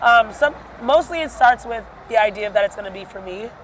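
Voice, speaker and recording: Pitch moves in an ordinary way here, with noticeable noise in the background. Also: woman. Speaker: singer and house music artist. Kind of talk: casual interview. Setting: music festival. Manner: animated, filler-heavy.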